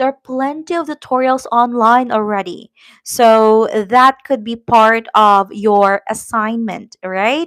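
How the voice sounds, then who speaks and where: Speaking at a very slow pace with a Filipino accent, a woman is heard in a dry, close recording with no echo. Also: fairly high pitch for a woman, ordinary pitch variation. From Philippines. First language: Tagalog. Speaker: YouTuber, immigration vlogger. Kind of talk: live stream chat. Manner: hesitant, many fillers.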